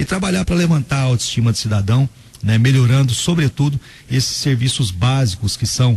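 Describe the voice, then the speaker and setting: Male voice of medium pitch, moderate pace and lively intonation. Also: very even loudness. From Brazil, Goiás (Inhumas). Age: 30s. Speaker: mayor-elect and lawyer. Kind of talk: radio interview. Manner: halting, with fillers and repetitions.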